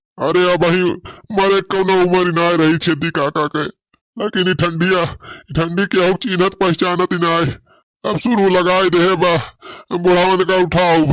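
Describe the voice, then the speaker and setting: A man does a cartoonish character voice with a high pitch, monotone, flat intonation, very even loudness and a moderate pace. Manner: folksy, complaining.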